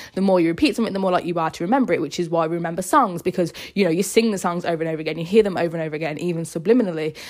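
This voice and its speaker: A woman talks at a very fast pace in a fairly low voice with a British accent. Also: very clean recording, silent background. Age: 20s. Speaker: podcast host. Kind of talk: personal monologue.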